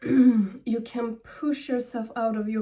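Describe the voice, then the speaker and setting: Speaking at a very slow pace with a non-native accent, a woman has a fairly high pitch and a dark, mellow tone. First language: not English. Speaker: spiritual medium. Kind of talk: channeled guidance reading. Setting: at home. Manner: halting.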